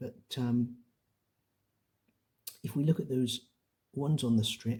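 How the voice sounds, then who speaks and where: Soft-spoken and somewhat breathy, a man speaks at a fairly slow pace and medium pitch with a dark, mellow, gentle tone and ordinary pitch variation. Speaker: quiz host. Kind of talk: ASMR quiz narration. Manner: soft-spoken, gentle, conversational.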